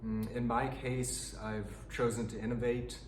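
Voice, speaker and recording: Noticeable background noise mixes with audible room echo while this man talks. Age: 30s. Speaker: pianist and piano teacher. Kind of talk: tutorial. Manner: halting.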